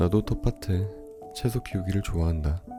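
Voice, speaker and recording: Over music in the background, a man speaks at a moderate pace with a very deep, low pitch. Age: 20s. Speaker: audiobook narrator. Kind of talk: audiobook reading.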